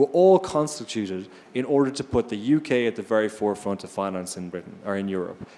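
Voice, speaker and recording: With an Irish accent, a man talks at a very fast pace in a fairly low pitch and a dark, mellow tone, on a very clean recording with a silent background. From Ireland. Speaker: investor on a finance panel. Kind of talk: panel discussion.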